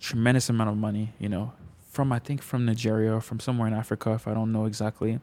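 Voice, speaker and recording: Speaking at a very fast pace, a man with a dark, mellow tone and medium pitch keeps a monotone, flat intonation on a very clean recording with a silent background. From Montreal, Quebec. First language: French. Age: 20s. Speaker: photographer and creative director. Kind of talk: casual chat. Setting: studio.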